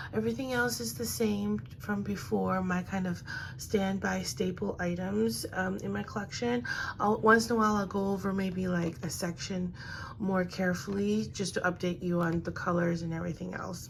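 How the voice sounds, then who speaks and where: A soft-spoken woman talks at a fairly low pitch and a moderate pace, somewhat breathy, with very wide pitch swings. Audible room echo surrounds her voice. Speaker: beauty vlogger. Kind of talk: casual makeup review. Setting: at home vanity.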